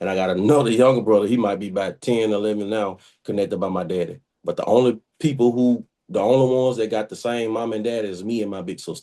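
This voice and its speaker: Over a quiet background, a man with a fairly low, dark and mellow voice talks at a very fast pace with fairly even intonation. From US South, Mobile, Alabama. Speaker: interview guest. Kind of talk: casual interview. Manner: loud.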